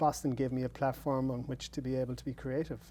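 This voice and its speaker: Speaking at a moderate pace, a man talks in an Irish accent. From Ireland. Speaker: playwright. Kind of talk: interview. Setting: studio.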